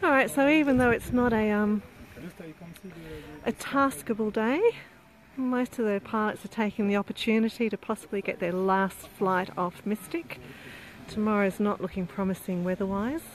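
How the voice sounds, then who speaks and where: Noticeable background noise surrounds a woman with a fairly high pitch and ordinary pitch variation. She talks at a moderate pace, with long, frequent pauses. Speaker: event live-streamer. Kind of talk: casual live commentary. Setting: outdoors.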